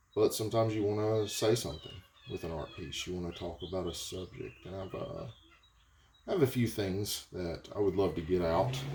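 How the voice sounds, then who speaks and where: In a Southern US accent, the speaker keeps a moderate pace with long, frequent pauses and big swings in loudness. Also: man. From US South. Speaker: potter. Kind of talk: casual vlog talk while working. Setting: pottery studio. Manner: halting, with fillers.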